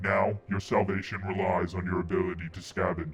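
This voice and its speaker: Over faint music in the background, a man does a put-on character voice with very deep, low pitch at a moderate pace. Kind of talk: menacing game-master speech. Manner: creepy, psychotic, taunting.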